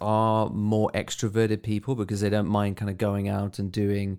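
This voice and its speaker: Recorded very cleanly with a silent background, a man with an unremarkable speaking voice talks at a moderate pace in a fairly low pitch. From South Africa. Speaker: photographer and video creator. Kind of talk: recorded answers to interview questions. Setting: recorded voice message.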